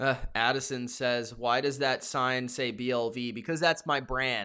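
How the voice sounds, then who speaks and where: A man shouts loudly at a fairly slow pace, in a medium pitch with a bright, sharp tone. The background is quiet. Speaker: NFL live stream host. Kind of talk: live reaction stream, reading chat. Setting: live stream. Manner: loud, yelling; animated.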